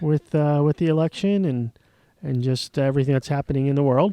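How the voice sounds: Man with an American accent, fairly high-pitched and fairly quick, ordinary pitch variation, a dark, mellow tone that is also clear and smooth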